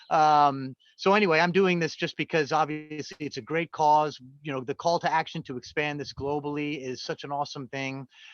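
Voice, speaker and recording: A man with an American accent speaks at a fairly quick pace. His pitch is fairly high, and his intonation stays fairly even. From United States. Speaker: company employee, team fundraiser. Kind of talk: casual speech on video call. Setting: video call.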